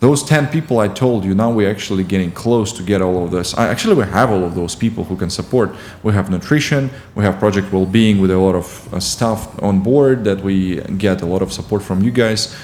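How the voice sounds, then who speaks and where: Fairly quick speech from a man with a Russian accent, fairly low in pitch with ordinary pitch variation, over noticeable background noise. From Ukraine. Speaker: competitive swimmer. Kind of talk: podcast interview. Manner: halting, with frequent fillers.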